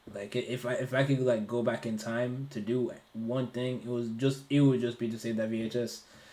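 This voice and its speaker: Speaking at a fairly quick pace with hardly any pauses, a man with an American accent and medium pitch keeps a monotone, flat intonation over noticeable background noise. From Ireland. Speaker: streamer guest. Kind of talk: casual chat.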